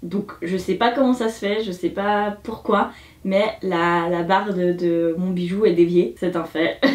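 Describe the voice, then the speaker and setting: A very slow-paced woman's voice at medium pitch, with fairly even intonation. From Switzerland. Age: 20s. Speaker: beauty YouTuber. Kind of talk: casual review talk to camera.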